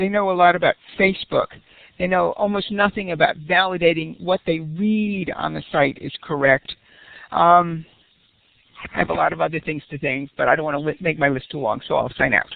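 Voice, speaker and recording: The clip has an ordinary speaking voice at a fairly quick pace with ordinary pitch variation. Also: woman, fairly low pitch for a woman. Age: 60s. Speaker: community college professor. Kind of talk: audience question. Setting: online webinar.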